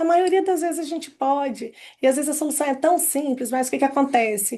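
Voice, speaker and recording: With a dark, mellow tone and a high pitch, a woman talks at a fairly quick pace with ordinary pitch variation. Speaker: psychologist. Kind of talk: casual chat. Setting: video call. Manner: fast.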